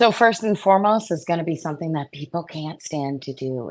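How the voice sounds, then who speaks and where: Over a quiet background, a woman with a very deep, low voice and vocal fry speaks at a moderate pace with lively intonation. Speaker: financial sales coach. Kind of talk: interview. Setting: podcast recording. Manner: stumbles over words.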